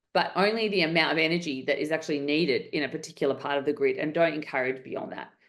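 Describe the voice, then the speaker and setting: With an Australian accent, a woman speaks at a very fast pace and a fairly low pitch over a quiet background. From Western Australia. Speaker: entrepreneur. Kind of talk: interview.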